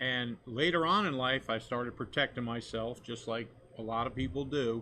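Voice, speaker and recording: A man with a medium pitch has an unremarkable speaking voice. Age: 60s. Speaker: fishing captain, skin cancer survivor. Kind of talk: testimony.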